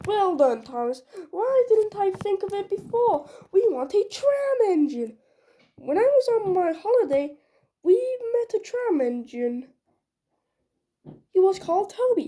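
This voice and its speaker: A woman uses a put-on character voice pitched extremely high, with very wide pitch swings. She keeps a moderate pace but leaves long, frequent pauses. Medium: read story.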